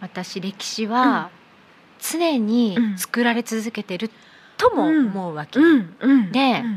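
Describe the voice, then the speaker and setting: A woman's fairly high voice with lively intonation at a very slow pace, over noticeable background noise. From Abu Dhabi. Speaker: company founder. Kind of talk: casual chat. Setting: bar-themed studio set.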